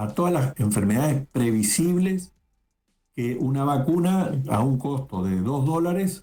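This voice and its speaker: A man's fairly high, somewhat breathy voice with a dark, mellow tone and very wide pitch swings. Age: 60s. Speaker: lawyer, political commentator. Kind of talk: interview.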